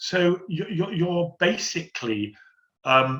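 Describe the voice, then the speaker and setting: A man's fairly high-pitched voice with a southern English accent, at a moderate pace. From London. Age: 60s. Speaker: theatre stage manager. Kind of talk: Q&A session.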